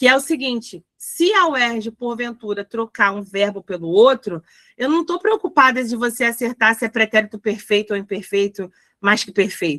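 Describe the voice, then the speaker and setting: This woman's voice has a bright, sharp tone and lively intonation, recorded with a dry, close sound and no echo. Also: fairly high pitch for a woman, moderate pace, big swings in loudness. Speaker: teacher. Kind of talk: lecture.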